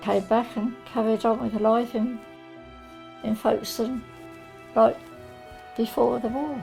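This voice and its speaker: A woman speaks quietly with a southern English accent at a fairly slow pace, leaving long, frequent pauses while music plays in the background. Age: 80s+. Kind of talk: interview answer. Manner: quiet, reflective.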